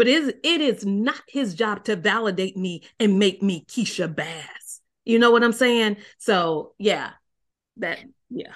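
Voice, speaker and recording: Against a quiet background, a woman with an ordinary speaking voice talks at a fairly slow pace, her fairly high pitch moving with lively intonation. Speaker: marriage coach. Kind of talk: interview conversation.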